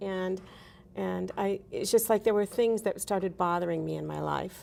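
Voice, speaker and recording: A woman with an American accent talks at a moderate pace, recorded very cleanly against a silent background. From US West Coast, San Francisco Bay Area. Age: 60s. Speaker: sustainability advocate. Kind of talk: talk show interview. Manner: hesitant, many fillers.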